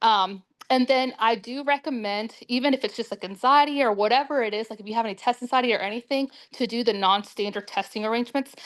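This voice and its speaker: At a very fast pace, a woman speaks in a fairly high pitch with fairly even intonation over a quiet background. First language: not English. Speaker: social worker preparing for licensing exam. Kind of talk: group discussion. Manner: hesitant, many fillers.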